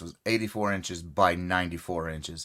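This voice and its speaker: The background is silent in a very clean recording. A man talks at a moderate pace. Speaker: crochet youtuber. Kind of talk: casual live stream chat. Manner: casual, conversational normal voice.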